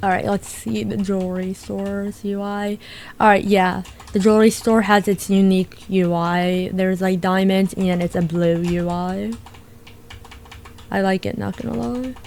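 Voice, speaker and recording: A woman at a medium pitch, an unremarkable speaking voice, with ordinary pitch variation and a moderate pace. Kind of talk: casual gameplay commentary.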